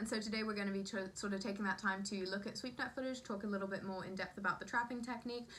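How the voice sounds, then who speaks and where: A woman with an American accent talks at a very fast pace at a medium pitch, her intonation fairly even and hardly any pauses between words. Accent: switches between British and American. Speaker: entomology video host. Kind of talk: educational vlog intro.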